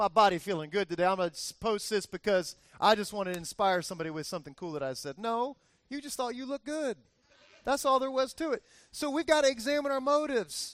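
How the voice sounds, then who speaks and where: A man with a high pitch, very wide pitch swings, a very fast pace and an American accent. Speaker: pastor. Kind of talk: sermon. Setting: church with congregation. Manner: animated, conversational.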